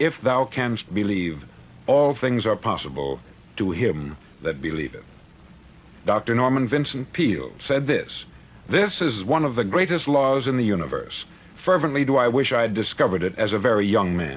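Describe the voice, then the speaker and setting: This voice has vocal fry and very wide pitch swings, moving at a moderate pace. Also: man, medium pitch for a man. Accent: American. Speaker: motivational speaker. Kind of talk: motivational speech. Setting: vintage studio recording.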